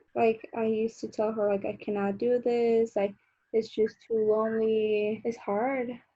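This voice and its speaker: A woman with a Colombian accent speaks at a fairly slow pace in a fairly high pitch. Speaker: beauty vlogger. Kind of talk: casual chat. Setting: video call.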